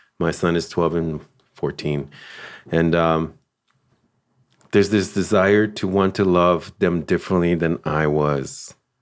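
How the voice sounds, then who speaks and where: A man in a Los Angeles accent, very deep and low, fairly slow and fairly even in intonation, with long, frequent pauses. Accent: American, Los Angeles. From Los Angeles, US. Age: 40s. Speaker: father sharing life story. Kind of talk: personal testimony. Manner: halting, many fillers.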